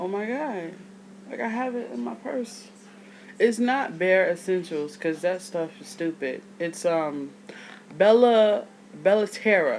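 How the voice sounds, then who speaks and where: A woman at a fairly slow pace with long, frequent pauses, very wide pitch swings and big swings in loudness, over noticeable background noise. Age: 30s. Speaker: video blogger. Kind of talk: casual vlog. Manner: casual, rambling speech.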